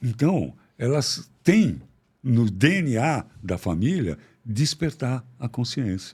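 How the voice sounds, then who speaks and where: On a very clean recording with a silent background, a somewhat breathy man speaks at a very slow pace and medium pitch, with very wide pitch swings. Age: 70s. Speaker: psychiatrist. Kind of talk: interview conversation. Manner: animated.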